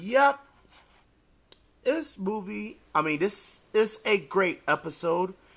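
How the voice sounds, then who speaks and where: A man speaks in a raised, projected voice with a bright, sharp tone and a high pitch, moving at a very slow pace with lively intonation and long, frequent pauses. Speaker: DVD reviewer. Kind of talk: casual talk to camera.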